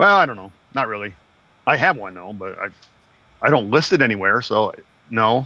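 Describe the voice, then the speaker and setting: The intonation is lively. Long pauses come often. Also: man, medium pitch for a man. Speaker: reselling podcast co-host. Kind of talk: casual chat. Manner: gets loud when excited.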